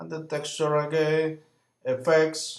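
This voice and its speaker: The speech comes very slowly, in a non-native accent. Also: man. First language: not English. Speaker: software tutorial creator. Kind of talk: tutorial. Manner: halting, with frequent fillers.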